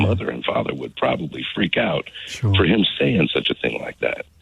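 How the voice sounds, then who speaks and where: An American-accented man talks at a fairly quick pace with lively intonation. Noticeable background noise is present. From United States. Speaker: busker, former salesman. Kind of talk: radio phone-in call. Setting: phone line.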